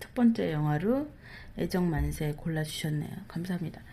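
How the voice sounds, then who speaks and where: At a very slow pace, a woman talks in a fairly low pitch. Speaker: podcast co-host. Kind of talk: casual chat. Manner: tongue-tied today.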